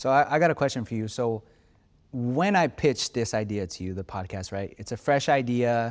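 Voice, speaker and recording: A man with an ordinary speaking voice talks at a medium pitch, his loudness swinging widely and his intonation lively. The recording is very clean, with a silent background. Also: moderate pace. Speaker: podcast host. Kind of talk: casual chat.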